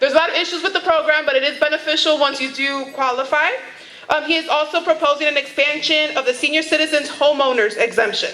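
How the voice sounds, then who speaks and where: A woman speaks in a raised, projected voice at a very fast pace with a high pitch. Her intonation is fairly even, and there is noticeable background noise. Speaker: community affairs staffer for a city official. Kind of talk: public presentation at community board meeting. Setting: community board meeting room.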